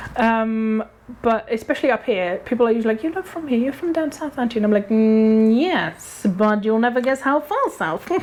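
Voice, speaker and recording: Against noticeable background noise, a woman speaks at a fairly high pitch with lively intonation. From Germany. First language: German. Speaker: actor and director. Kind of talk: casual interview chat. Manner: hesitant, many fillers and restarts.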